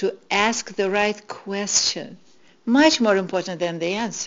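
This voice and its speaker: At a very slow pace, a woman talks in a Russian accent. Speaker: spiritual teacher. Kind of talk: inspirational talk.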